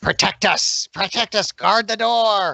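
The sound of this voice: A put-on character voice, female-sounding, at a fairly slow pace with monotone, flat intonation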